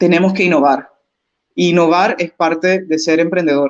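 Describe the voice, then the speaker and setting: Speaking at a fairly slow pace, the woman has an unremarkable speaking voice. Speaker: business consultant. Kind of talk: webinar presentation.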